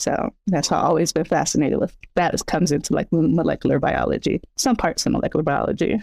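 A woman's fairly low, dark, mellow voice with an American accent, vocal fry, and lively intonation, at a very fast pace with hardly any pauses and very even loudness. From US West, San Bernardino, California. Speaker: herbalist and scientist. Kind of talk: interview.

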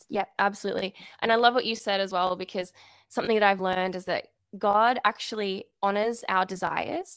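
A woman talks at a fairly quick pace in a normal speaking voice, her pitch medium. Her intonation stays fairly even. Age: 20s. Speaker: freelance writer and illustrator. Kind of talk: interview, faith-based casual chat. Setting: remote call.

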